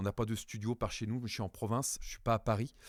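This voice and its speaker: Speaking at a fairly quick pace with fairly even intonation, a man at medium pitch is captured in a dry, close sound with no echo on a very clean recording with a silent background. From France. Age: 40s. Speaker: voice-over actor and stage actor. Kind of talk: interview. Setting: podcast interview. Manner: halting, many fillers.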